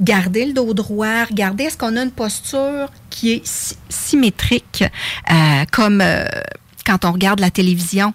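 Somewhat breathy and fairly high in pitch, a woman speaks fairly slowly with lively intonation. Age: 50s. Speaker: face yoga teacher. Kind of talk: radio interview.

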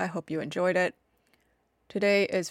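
A woman with a plain, everyday voice speaks at a fairly low pitch and fairly even intonation, the sound dry and close with no echo. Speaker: podcast host. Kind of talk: casual chat. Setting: remote recording.

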